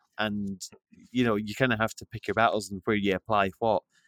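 An unremarkable speaking voice from a man, fairly low in pitch with fairly even intonation, moves at a fairly quick pace on a very clean recording with a silent background and a dry, close sound with no echo. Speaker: podcast host. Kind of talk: casual interview chat.

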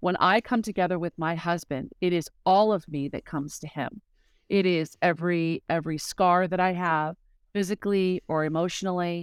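A woman with a plain, everyday voice speaks at a fairly low pitch and a moderate pace, her intonation fairly even, the sound dry, close and echo-free on a very clean recording with a silent background. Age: 50s. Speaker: author and speaker. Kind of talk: casual chat.

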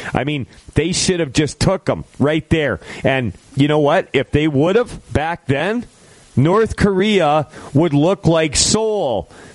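With noticeable background noise behind him, a man speaks very slowly in a fairly high pitch. His intonation is lively while his loudness stays very even. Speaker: radio host. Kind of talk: casual talk radio show with call-ins.

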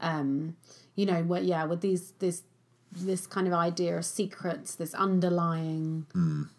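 A fairly low-pitched woman's voice in an English accent, fairly slow and monotone with flat intonation. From England. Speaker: film podcast co-host. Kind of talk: casual chat.

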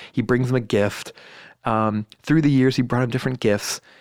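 A man with an American accent has a plain, everyday voice at a medium pitch. He talks at a fairly quick pace in a very clean recording with a silent background. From US West Coast, Silicon Valley. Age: 40s. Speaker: band manager. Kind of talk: casual interview.

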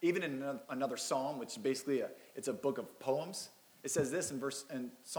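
The reading voice sounds unforced.

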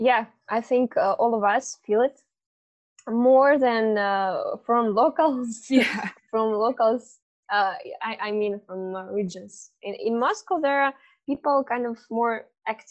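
A woman with a Russian accent speaks at a very slow pace, fairly high in pitch with ordinary pitch variation. The background is quiet. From Russia, Irkutsk, Siberia. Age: 20s. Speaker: climate activist. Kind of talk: interview. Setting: video call. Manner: halting.

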